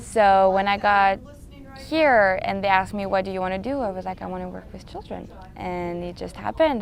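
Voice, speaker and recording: At a moderate pace, a woman speaks with a French accent. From France. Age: 20s. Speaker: special education worker. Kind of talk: documentary interview.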